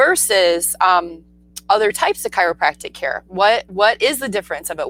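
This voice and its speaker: The recording is dry and close, without any echo. A woman talks at a moderate pace. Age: 40s. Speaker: naturopathic doctor and show host. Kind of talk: casual interview chat.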